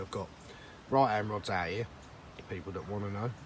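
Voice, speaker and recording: A man in an English accent talks at a fairly quick pace with fairly even intonation. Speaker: fishing vlogger. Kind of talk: casual vlog commentary. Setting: outdoors by a lake.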